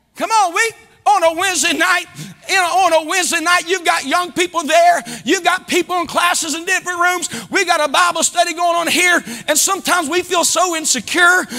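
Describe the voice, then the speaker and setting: In an American accent, a man speaks in an extremely high pitch with a raised, projected voice and an animated tone. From US Midwest. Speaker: pastor. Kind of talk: sermon. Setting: church. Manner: animated, exhorting the congregation with call-and-response; fervent and preacherly, rising in volume and emphasis. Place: church. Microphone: lapel.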